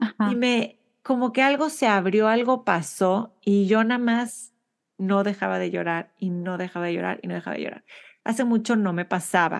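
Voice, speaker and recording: Over a quiet background, a woman with a plain, everyday voice talks at a moderate pace in a medium pitch with ordinary pitch variation. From Monterrey, Mexico. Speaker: podcast host. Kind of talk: interview conversation.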